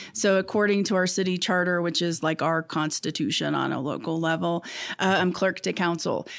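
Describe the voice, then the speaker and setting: An ordinary speaking voice with ordinary pitch variation. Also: woman, fairly low pitch for a woman, fairly quick pace. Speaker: city clerk. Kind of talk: casual interview conversation.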